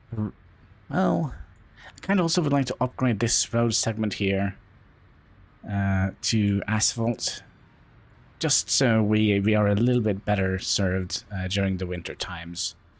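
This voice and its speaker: On a very clean recording with a silent background, a man mumbles at a fairly slow pace and a fairly low pitch, with long, frequent pauses. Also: ordinary pitch variation. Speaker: gaming YouTuber. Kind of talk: let's play commentary. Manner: mumbling; hesitant, many fillers.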